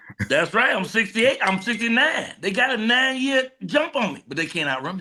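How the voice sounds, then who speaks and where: A man uses a raised, projected voice at an extremely high pitch, with very wide pitch swings. He talks at a fairly quick pace with big swings in loudness. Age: 60s. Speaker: comedian. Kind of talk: casual chat. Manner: animated.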